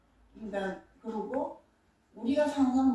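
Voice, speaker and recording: A woman speaks very slowly with lively intonation. There is noticeable background noise. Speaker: visual artist. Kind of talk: artist talk interview.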